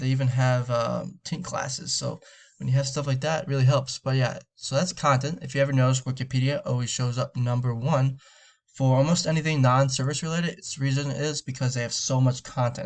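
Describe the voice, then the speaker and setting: Fairly even in intonation and somewhat breathy, this voice moves along at a fairly quick pace. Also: man, medium pitch for a man. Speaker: SEO marketer. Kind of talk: screen-recorded sales pitch. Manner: fast; casual with fillers.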